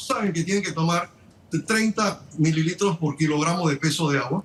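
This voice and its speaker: A man speaks with a high-pitched voice. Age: 60s. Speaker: surgeon. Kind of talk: TV news interview. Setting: remote connection.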